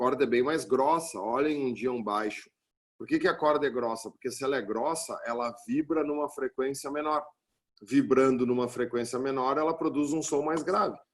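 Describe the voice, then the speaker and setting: Here a man with a normal speaking voice talks at a moderate pace, his fairly high pitch showing ordinary pitch variation. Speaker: physics teacher. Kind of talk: lecture.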